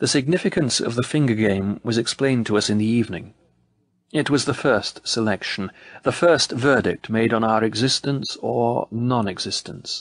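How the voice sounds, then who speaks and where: Over a quiet background, a man has a normal speaking voice with a medium pitch. He talks at a moderate pace with ordinary pitch variation and very even loudness. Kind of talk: audiobook narration, reading aloud a memoir. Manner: measured, solemn, formal.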